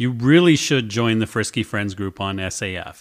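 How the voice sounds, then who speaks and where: In an unremarkable speaking voice, a man with an American accent talks at a moderate pace and fairly low pitch with ordinary pitch variation. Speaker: podcast host. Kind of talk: casual chat, interview. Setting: remote long-distance interview.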